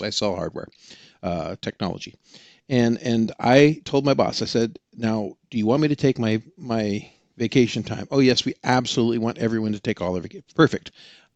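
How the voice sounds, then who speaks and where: A man's plain, everyday voice with an American accent, medium pitch, ordinary pitch variation and a fairly quick pace, dry and close with no echo against a quiet background. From Oregon. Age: 60s. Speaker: experienced hiker, tech salesman. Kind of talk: podcast interview.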